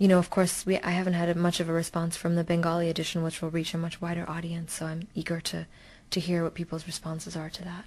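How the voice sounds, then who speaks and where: A woman's fairly low, flat, monotone voice over a quiet background. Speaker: novelist. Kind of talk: interview. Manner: hesitant, frequent fillers.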